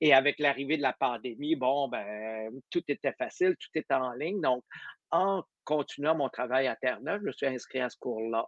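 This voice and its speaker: An ordinary speaking voice, a man with a fairly high pitch and ordinary pitch variation talks at a moderate pace with big swings in loudness. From Quebec. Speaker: orchestra conductor and competition director. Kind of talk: casual interview.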